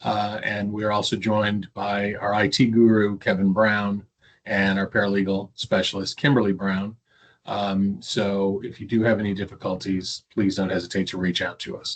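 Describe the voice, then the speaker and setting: The speaker keeps a moderate pace with a monotone, flat intonation. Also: man, fairly low pitch for a man. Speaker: government attorney and trainer. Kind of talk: webinar training.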